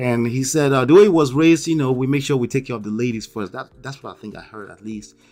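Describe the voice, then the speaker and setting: A man with a strong Nigerian accent talks very fast in an animated tone with hardly any pauses. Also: medium pitch for a man, ordinary pitch variation, big swings in loudness. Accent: Nigerian, thick. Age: 40s. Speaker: YouTube commentator. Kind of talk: livestream commentary. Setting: live stream.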